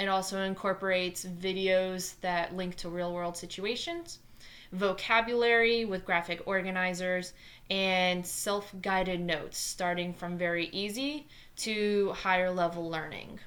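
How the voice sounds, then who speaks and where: Speaking at a fairly slow pace in a New Jersey accent, a woman keeps a medium pitch and fairly even intonation. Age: 20s. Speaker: math teacher. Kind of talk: tutorial.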